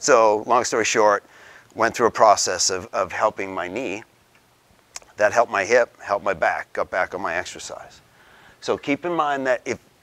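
A man talks at a moderate pace with long, frequent pauses. His pitch varies in an ordinary way. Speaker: presenter. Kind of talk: lecture. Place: meeting room.

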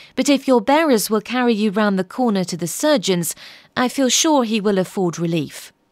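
Lively intonation in plain reading aloud.

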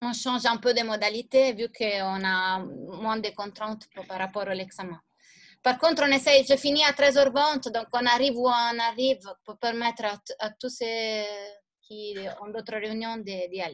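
Against a quiet background, a woman speaks at a fairly slow pace with ordinary pitch variation and big swings in loudness. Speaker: teacher. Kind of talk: lecture. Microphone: video call.

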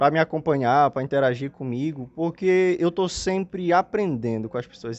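A man is speaking. His pace is moderate. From Amapá, northern Brazil. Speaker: comedian and influencer. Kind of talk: casual interview chat. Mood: friendly, grateful, upbeat. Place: home room. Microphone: handheld.

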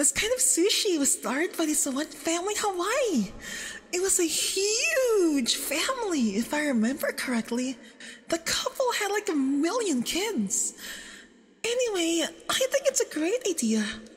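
In a put-on character voice, a woman speaks at an extremely high pitch with big pitch swings and a fairly slow pace.

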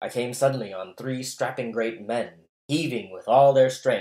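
Quiet surroundings and an unforced reading voice

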